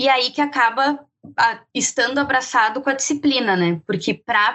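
Her pitch high and ordinarily varied, a woman is speaking. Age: 20s. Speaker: marketing analyst. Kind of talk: interview.

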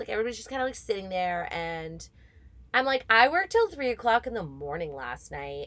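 Woman in an animated tone, with very wide pitch swings. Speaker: podcast host. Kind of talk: casual chat.

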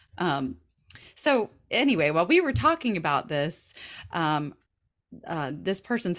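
A woman with a Southern US accent speaks at a fairly slow pace with lively intonation. The recording is very clean, with a silent background. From US South. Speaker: podcast co-host. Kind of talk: casual chat.

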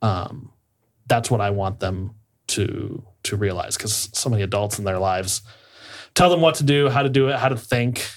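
Recorded very cleanly against a silent background, a man with an American accent has an unremarkable speaking voice at a medium pitch, with lively intonation. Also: moderate pace. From Iowa, US Midwest. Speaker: play therapist. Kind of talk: casual chat.

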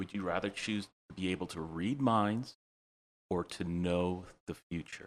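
Speaking with an American accent, a man uses a very deep, low pitch and ordinary pitch variation at a fairly slow pace, broken by long, frequent pauses. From Ohio, Cleveland. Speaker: guest. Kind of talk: casual chat.

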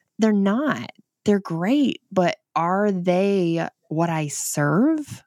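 In a dry, close sound with no echo, a woman speaks at a very slow pace. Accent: northern Michigan. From northern Michigan. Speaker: author and mother guest. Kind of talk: casual interview chat.

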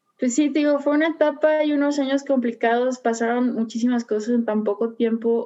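A woman's dark, mellow voice with a Mexican accent, at a moderate pace with fairly even intonation. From Mexico, Puerto Vallarta. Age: 30s. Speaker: athlete. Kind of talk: interview.

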